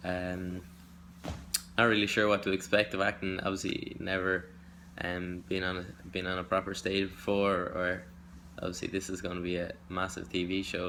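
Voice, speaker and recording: Very deep, low pitch from a man, bright and sharp in tone, with a monotone, flat intonation. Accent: Dublin. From Ireland. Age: 20s. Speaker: audition hopeful, business student. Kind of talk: self-tape audition monologue. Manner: halting, many fillers.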